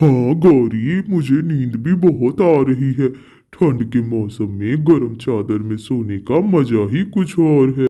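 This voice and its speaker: A man in a cartoonish character voice, fairly slow in pace with hardly any pauses. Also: medium pitch for a man. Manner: sly, playful.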